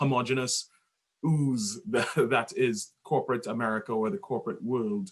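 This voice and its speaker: Speaking at a fairly slow pace, a man uses lively intonation at a medium pitch. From Trinidad. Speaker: podcast guest. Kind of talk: casual chat.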